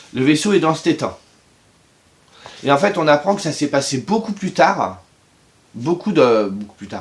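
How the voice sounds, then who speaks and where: A man speaks at a fairly slow pace with a fairly high pitch, very wide pitch swings and big swings in loudness. Noticeable background noise runs underneath. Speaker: book reviewer youtuber. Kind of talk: casual video review. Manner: hesitant with fillers.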